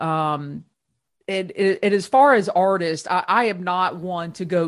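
On a very clean recording with a silent background, a woman with an American accent speaks at a fairly low pitch with fairly even intonation. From Ohio, US Midwest. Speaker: hiker. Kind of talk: casual chat.

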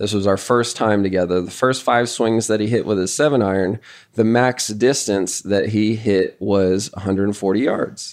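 Against a quiet background, a man talks at a moderate pace. He has a normal speaking voice with a fairly low pitch. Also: fairly even intonation. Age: 30s. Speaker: golf coach and podcast host. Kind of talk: casual podcast chat.

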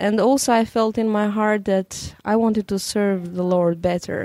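A woman's dark, mellow voice with an Albanian accent, flat and monotone, at a moderate pace, on a very clean recording with a silent background. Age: young. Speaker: radio programming director. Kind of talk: interview.

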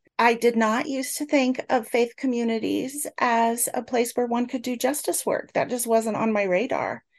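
This woman has a high pitch. She speaks with a US Midwestern accent. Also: fairly even intonation, moderate pace, hardly any pauses, quiet background. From Northeast Kansas, US Midwest. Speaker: church justice minister and professor. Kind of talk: interview.

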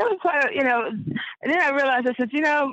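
A woman speaks in a North Carolina accent. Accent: North Carolina Southern American. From North Carolina, Wake County. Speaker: former injury claimant. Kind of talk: interview testimony.

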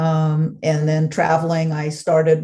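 The tone is dark and mellow, somewhat breathy, with an American accent. Delivery is monotone and flat at a moderate pace. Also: woman. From Los Angeles, US West Coast. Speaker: food travel blogger. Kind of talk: casual interview.

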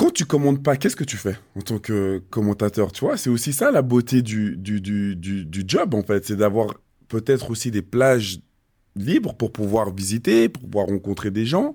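Very cleanly recorded against a silent background, a man with a fairly low, dark, mellow voice talks at a moderate pace with ordinary pitch variation. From Switzerland. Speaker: podcast host, former footballer. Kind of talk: casual interview.

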